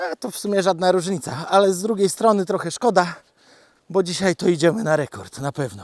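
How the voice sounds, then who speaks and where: A man with a high-pitched voice. His pitch moves up and down in an ordinary way. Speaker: vlogger walking his dog and keeping farm animals. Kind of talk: casual monologue while walking. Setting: outdoors, forest walk with dog. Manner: chatty, relaxed, self-deprecating.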